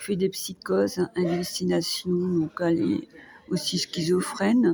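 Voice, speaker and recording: A woman talks at a fairly slow pace. Noticeable background noise sits behind her. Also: big swings in loudness. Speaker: vlogger, care worker. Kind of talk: personal vlog monologue. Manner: calm, hesitant.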